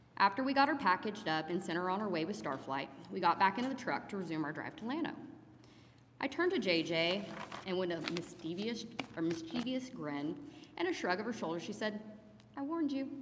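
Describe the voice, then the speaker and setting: The speech runs at a fairly quick pace with very wide pitch swings and long, frequent pauses. Audible room echo surrounds it. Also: woman, medium pitch for a woman. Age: 40s. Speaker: paramedic. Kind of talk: memorial eulogy speech. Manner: reading from notes.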